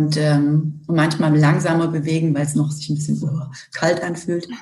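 A woman speaks at a moderate pace in a very deep, low pitch, with a dark, mellow tone that is somewhat breathy. Her intonation is monotone and flat, and there is audible room echo. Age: 40s. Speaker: corporate communications director. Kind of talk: interview.

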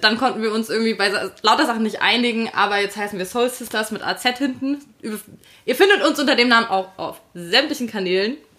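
A woman with a fairly high voice speaks at a fairly quick pace. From Hesse, Fulda. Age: 20s. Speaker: podcast co-host, editor. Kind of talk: casual chat. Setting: on a sofa in a Berlin flat.

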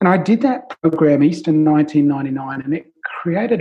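Fairly slow speech comes from a man with an Australian accent. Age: 50s. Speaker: life coach. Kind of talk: interview.

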